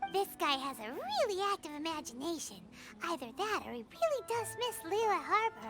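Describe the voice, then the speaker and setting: A put-on character voice at an extremely high pitch, moderate pace, clear music playing behind it. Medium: video game. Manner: blunt, teasing.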